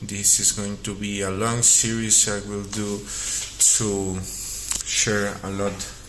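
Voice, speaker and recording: A man with a Spanish accent speaks at a very slow pace, his pitch fairly low and his intonation fairly even. Noticeable background noise and audible room echo fill the recording. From Mexico. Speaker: artist and vlogger. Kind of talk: casual vlog monologue. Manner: halting, with fillers.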